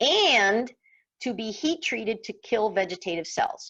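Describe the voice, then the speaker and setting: The voice carries vocal fry at a fairly slow pace. The background is quiet. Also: woman. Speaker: workshop presenter and farmer. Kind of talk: online workshop presentation.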